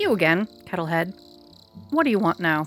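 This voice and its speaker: Over music in the background, a female-sounding put-on character voice at medium pitch cackles at a moderate pace. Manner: hostile, impatient.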